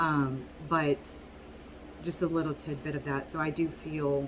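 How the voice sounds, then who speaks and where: Amid noticeable background noise, a woman speaks in a monotone with flat intonation. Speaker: tarot reader. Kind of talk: tarot reading video. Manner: casual, halting with fillers.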